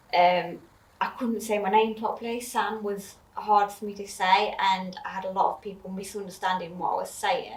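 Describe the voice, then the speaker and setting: A woman talks at a moderate pace and medium pitch in a monotone, flat delivery. Audible room echo hangs around her voice. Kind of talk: personal testimony in chat. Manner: hesitant, many fillers.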